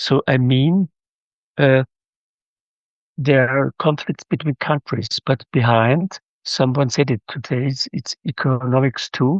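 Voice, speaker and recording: Speaking with a German accent, a man talks at a very slow pace and medium pitch, leaving long, frequent pauses. His pitch varies in an ordinary way. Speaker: audience member asking a question. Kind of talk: audience question. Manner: halting.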